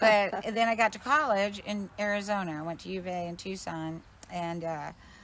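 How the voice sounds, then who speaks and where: A woman with an American accent uses an ordinary speaking voice at medium pitch and moderate pace, with ordinary pitch variation and big swings in loudness. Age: 60s. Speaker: organic farmer. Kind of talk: casual interview. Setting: outdoors walking.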